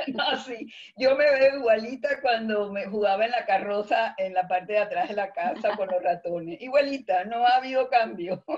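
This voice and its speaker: Intonation here is lively, with hardly any pauses. Noticeable background noise can be heard. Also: woman, fairly high pitch for a woman, moderate pace. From Cuba. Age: 70s. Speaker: theatre director and teacher. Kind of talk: interview.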